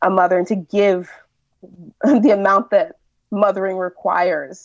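This is a woman's voice at a medium pitch. She speaks at a moderate pace. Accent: Californian. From California, US (Nigerian immigrant parents). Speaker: writer and mother. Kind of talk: casual interview chat.

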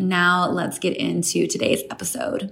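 A woman with a normal speaking voice and a medium pitch speaks at a fairly slow pace. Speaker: podcast host. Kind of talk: scripted intro.

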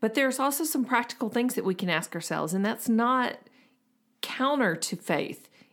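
A woman's plain, everyday voice, fairly high in pitch, with lively intonation at a moderate pace, on a very clean recording with a silent background. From US South, Memphis, Tennessee. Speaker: podcast co-host, missions counselor. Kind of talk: casual chat. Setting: home office.

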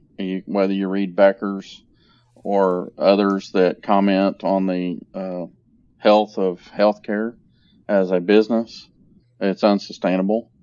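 A man speaks very slowly in an American accent. His intonation stays monotone and flat. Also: fairly low pitch for a man. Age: 50s. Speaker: healthcare facilities executive. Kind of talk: interview.

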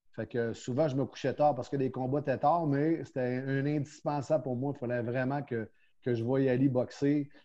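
A man speaks with a Quebec accent at a medium pitch and a moderate pace. His intonation is monotone and flat. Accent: Québécois French. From Quebec, Quebec City. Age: 50s. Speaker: professional boxing coach. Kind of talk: casual interview.

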